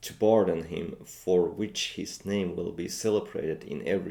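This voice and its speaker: A man with a Finnish accent at a moderate pace. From Finland. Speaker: language learner and video creator. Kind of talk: reading aloud with vocabulary commentary. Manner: halting, with frequent fillers.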